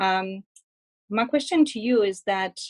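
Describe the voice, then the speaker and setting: In a very clean recording with a silent background, a woman speaks with a French accent. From France. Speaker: audience member. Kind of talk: audience question. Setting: live event with audience. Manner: halting.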